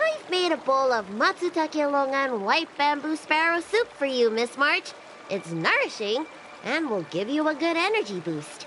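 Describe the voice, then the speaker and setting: A high-pitched, put-on character voice talks at a moderate pace over clear background noise. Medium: video game. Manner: warm, steady.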